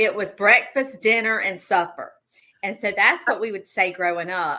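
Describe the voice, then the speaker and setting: A woman with a Southern US accent, a bright, sharp tone, and fairly high pitch. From South Carolina (Darlington). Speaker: pie business owner, baker. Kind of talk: casual interview chat.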